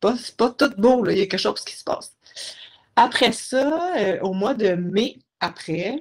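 Her loudness swings widely as a woman speaks at a fairly slow pace with lively intonation. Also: fairly high pitch for a woman. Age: 30s. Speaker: guest with multiple sclerosis. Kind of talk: interview.

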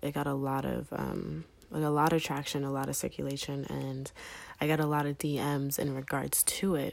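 A woman's very deep, low voice in an American accent, monotone and flat, at a moderate pace on a very clean recording with a silent background. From US Northeast, Philadelphia and Delaware. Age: 20s. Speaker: podcast host. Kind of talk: casual monologue answering listener questions. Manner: many filler ums, conversational.

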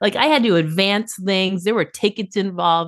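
A woman with a plain, everyday voice in an American accent, medium in pitch with ordinary pitch variation, against a quiet background. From Boston. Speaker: tour photographer. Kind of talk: casual chat.

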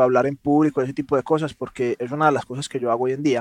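The speaker is a man with a fairly high pitch. His voice is recorded dry and close, with no echo. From Colombia, Medellín (paisa). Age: 30s. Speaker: entrepreneur. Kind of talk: interview conversation.

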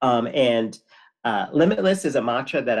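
In an ordinary speaking voice at medium pitch, a man talks at a moderate pace with lively intonation. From Connecticut, US. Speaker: person in addiction recovery. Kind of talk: casual interview.

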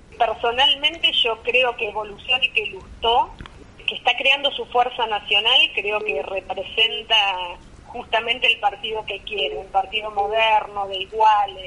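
At a fairly slow pace, a woman uses a normal speaking voice with fairly high pitch and ordinary pitch variation. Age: 50s. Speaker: politician. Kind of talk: phone interview.

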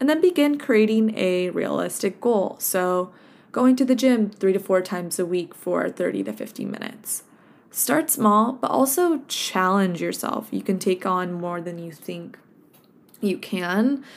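Lively intonation and a relaxed tone mark this woman's speech, in a Californian accent. She sits at medium pitch and moves fairly slowly. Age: 20s. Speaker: health coach podcaster. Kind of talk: casual solo podcast monologue. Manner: relaxed, conversational with fillers.

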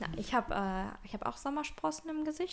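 A woman's pitch swings very widely as she talks at a fairly quick pace. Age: 20s. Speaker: podcast co-host. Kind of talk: casual chat.

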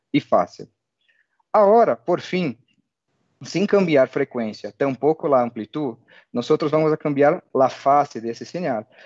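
This man has a fairly high voice. His intonation is lively. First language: Portuguese (speaking Spanish). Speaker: telecom technical expert. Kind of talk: technical webinar presentation.

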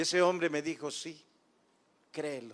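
A man is talking. His pace is fairly slow. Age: 60s. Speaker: guest preacher. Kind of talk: sermon; testimony. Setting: church.

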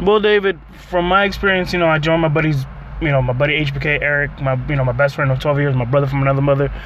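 Over noticeable background noise, a man with a fairly high pitch talks very fast with ordinary pitch variation. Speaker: co-host. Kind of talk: casual chat. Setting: in a car. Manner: joking, laid-back.

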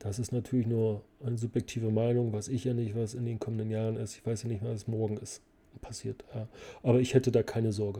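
A man's medium-pitched, dark, mellow voice, somewhat breathy, at a moderate pace. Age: 40s. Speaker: finance podcast host. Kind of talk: casual Q&A monologue. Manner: animated.

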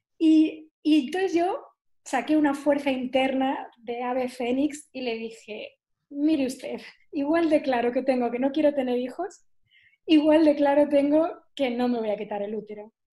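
Speaking at a fairly slow pace, a woman has a high pitch and a dark, mellow tone. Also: ordinary pitch variation. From southern Spain (Algeciras, Cádiz). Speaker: nutritional therapist. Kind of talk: interview.

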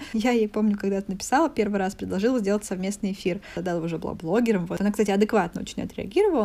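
The woman's voice sits at medium pitch with ordinary pitch variation. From Russia, Voronezh. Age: 20s. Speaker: wine expert and entrepreneur. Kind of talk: casual interview chat.

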